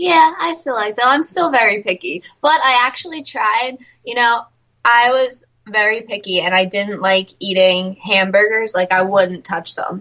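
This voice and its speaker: The intonation is lively. A woman is talking at a moderate speed. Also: fairly high pitch for a woman. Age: young. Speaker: country singer. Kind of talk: casual interview.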